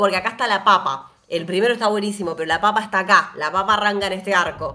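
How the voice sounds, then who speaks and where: Fairly quick and animated, a woman speaks at medium pitch. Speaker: podcast host. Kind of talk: casual chat.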